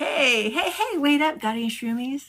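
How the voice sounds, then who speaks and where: Using a put-on character voice, a woman speaks at a moderate pace in a high pitch with lively intonation. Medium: read story. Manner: chatty, nosy.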